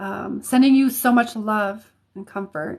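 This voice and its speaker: A woman talks with an American accent in a fairly high pitch. Her voice is somewhat breathy. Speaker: psychic reader and healer. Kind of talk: live stream readings. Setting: live stream. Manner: casual, halting with many fillers.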